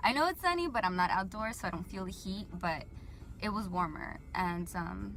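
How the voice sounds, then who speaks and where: A woman at a moderate pace, in a Southern California accent. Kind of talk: casual talk to camera. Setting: car interior. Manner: rambling, casual, filler-heavy.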